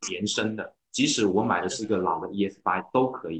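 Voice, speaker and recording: In a normal speaking voice, a man talks at a fairly low pitch and a moderate pace. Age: 30s. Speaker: car owner, internet operations worker. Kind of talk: casual chat. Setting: online meeting.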